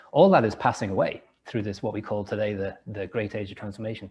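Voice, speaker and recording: A man talks at a very fast pace with an English accent. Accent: English, still noticeable. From England, rural village after early years in Liverpool. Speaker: entrepreneur and author. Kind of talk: interview. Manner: halting, with frequent word repetitions.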